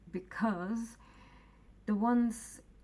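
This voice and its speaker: Somewhat breathy and very slow, the voice carries a non-native accent. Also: woman. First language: not English. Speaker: mental health vlogger. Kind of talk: personal testimony. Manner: halting, many fillers and restarts.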